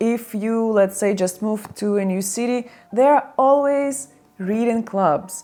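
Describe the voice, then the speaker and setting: A woman with a non-native accent talks at a fairly slow pace in a fairly high voice. Her pitch varies in an ordinary way over noticeable background noise. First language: not English. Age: 30s. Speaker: lifestyle vlogger. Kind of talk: casual vlog talk. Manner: conversational.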